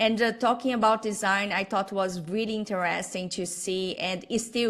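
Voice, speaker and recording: A woman with a Portuguese accent at a fairly slow pace. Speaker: designer and business owner. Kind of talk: interview. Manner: halting.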